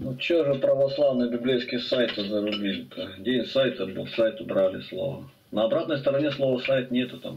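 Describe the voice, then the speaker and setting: A man's voice varies in pitch in an ordinary way, with noticeable background noise present. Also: medium pitch for a man, moderate pace. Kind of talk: casual chat. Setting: video call.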